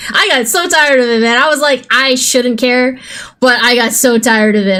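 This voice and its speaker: Over noticeable background noise, a woman speaks at a high pitch and a fairly quick pace with ordinary pitch variation. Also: very even loudness. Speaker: gaming streamer. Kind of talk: casual chat.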